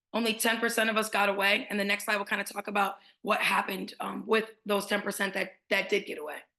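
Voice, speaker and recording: Her words come at a very fast pace as a woman speaks in a monotone, flat intonation. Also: medium pitch for a woman. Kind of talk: webinar presentation.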